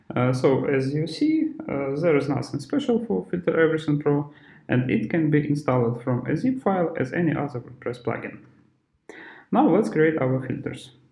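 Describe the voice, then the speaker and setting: A man with a non-native accent speaks in a fairly high pitch. His tone is dark and mellow and somewhat breathy. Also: ordinary pitch variation. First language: not English. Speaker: software developer / tutorial presenter. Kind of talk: tutorial. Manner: slow; halting, many filler sounds.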